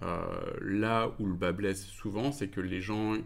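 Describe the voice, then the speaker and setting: This man has a fairly low pitch and speaks at a fairly slow pace. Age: 40s. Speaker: company director. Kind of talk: interview answers. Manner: hesitant, many fillers.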